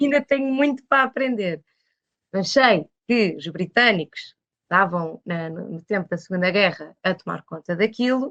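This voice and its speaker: A woman with an ordinary speaking voice, medium pitch, moderate pace, lively intonation, and big swings in loudness, in a dry, close sound with no echo. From Portugal, Lisbon. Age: 20s. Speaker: painter. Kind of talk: interview conversation. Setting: podcast.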